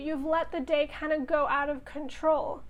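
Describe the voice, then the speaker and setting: Her pitch extremely high, a woman talks at a fairly slow pace. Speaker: tarot reader. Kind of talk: casual tarot reading to camera.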